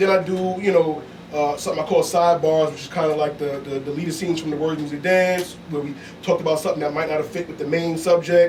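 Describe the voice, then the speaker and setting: A man's fairly high, monotone, flat voice at a very fast pace, with noticeable background noise. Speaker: podcast host guest. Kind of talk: casual chat.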